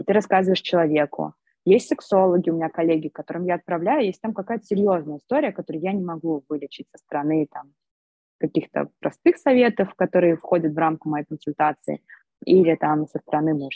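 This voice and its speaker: At a fairly quick pace, this voice shows big swings in loudness and ordinary pitch variation. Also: woman, fairly low pitch for a woman. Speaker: pelvic physical therapist and entrepreneur. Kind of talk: interview. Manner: animated.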